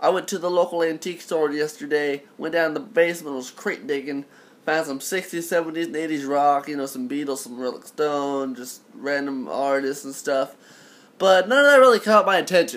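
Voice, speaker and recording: In an unremarkable speaking voice, a man talks fairly quickly at a fairly high pitch, with ordinary pitch variation and big swings in loudness. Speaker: vinyl collector and reviewer. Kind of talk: casual talk to camera.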